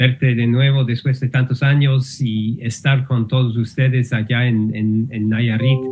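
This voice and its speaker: A somewhat breathy man at a medium pitch with an English accent, monotone and flat in intonation, at a very slow pace. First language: English (speaking Spanish). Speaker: linguistics professor. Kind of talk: lecture. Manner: halting, many fillers.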